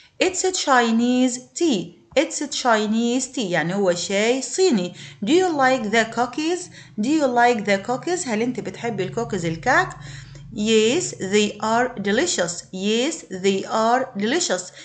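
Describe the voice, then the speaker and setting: Woman in an Egyptian accent, her pitch swinging very widely. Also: fairly high pitch for a woman. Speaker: English teacher. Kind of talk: lesson for primary school pupils. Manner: repetitive, slow drilling.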